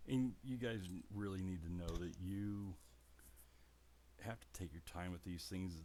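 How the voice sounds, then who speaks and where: With a very deep, low pitch and a dark, mellow tone, a man speaks at a fairly slow pace using lively intonation. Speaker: model building hobbyist. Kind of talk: tutorial. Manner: animated.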